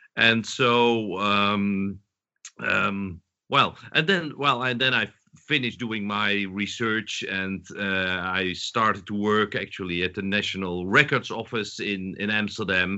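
Speaking with a Dutch accent, a man has a fairly low pitch and ordinary pitch variation. He talks at a very slow pace. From southern Netherlands. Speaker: historian, professor. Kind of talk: interview. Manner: halting.

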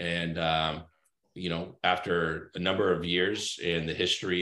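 Very deep and low, a man's voice comes through with an American accent. The recording is very clean, with a silent background. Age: 30s. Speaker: cybersecurity consultant. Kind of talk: casual interview chat.

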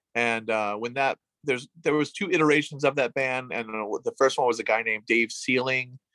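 Using a bright, sharp tone and a fairly high pitch, a man talks at a moderate pace with fairly even intonation. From western New York (Williamson). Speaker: tattoo artist and punk musician. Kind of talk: casual interview.

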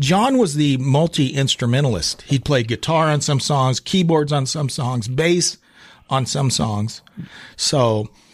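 On a very clean recording with a silent background, a man speaks at a fairly slow pace and fairly high pitch, somewhat breathy, with very even loudness and ordinary pitch variation. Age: middle-aged. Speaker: podcast host. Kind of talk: casual chat. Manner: animated.

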